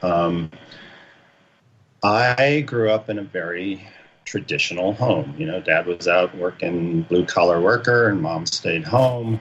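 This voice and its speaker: Speaking at a fairly slow pace, a man with a very deep, low pitch uses lively intonation. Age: 60s. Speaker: army veteran, shamanism student. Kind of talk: interview testimony. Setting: radio show.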